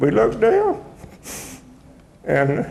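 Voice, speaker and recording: A man speaks with a Texan accent, and audible room echo surrounds his voice. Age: 80s+. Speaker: retired deputy sheriff. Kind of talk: testimony. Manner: halting.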